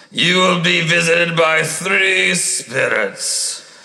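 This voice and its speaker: At a very slow pace, a man performs in a cartoonish character voice. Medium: puppet. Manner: exasperated.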